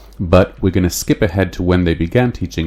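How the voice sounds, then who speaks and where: Noticeable noise fills the background while a man talks fairly quickly. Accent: English. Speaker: podcast host. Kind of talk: solo podcast talk, explaining a book. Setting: live stream with chat. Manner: hesitant, many fillers.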